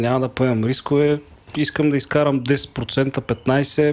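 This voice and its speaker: In an ordinary speaking voice, a man talks at fairly high pitch and a fairly slow pace with fairly even intonation. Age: 40s. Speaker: investment broker executive. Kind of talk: casual chat.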